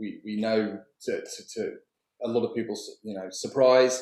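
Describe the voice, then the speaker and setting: A man speaks with a British accent. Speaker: documentary filmmaker. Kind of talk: interview.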